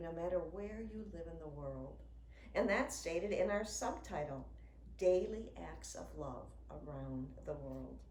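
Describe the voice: A woman speaks at a fairly slow pace with lively intonation and a slightly mellow tone. Audible room echo surrounds her voice.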